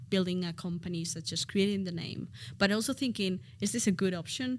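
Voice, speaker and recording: At a medium pitch, a woman is heard in a very clean recording with a silent background. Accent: Spanish. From Spain. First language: Spanish. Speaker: education expert. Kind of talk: casual interview.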